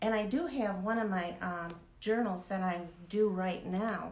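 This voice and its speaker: A woman at medium pitch speaks at a fairly slow pace with ordinary pitch variation, and audible room echo is present. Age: 70s. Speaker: author. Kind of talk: interview. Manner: halting.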